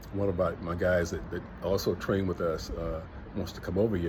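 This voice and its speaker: A man with a very deep, low voice and a relaxed tone talks at a fairly quick pace in audible room echo. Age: 60s. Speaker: travel vlogger, retiree. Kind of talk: casual vlog monologue. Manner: relaxed, conversational with many fillers.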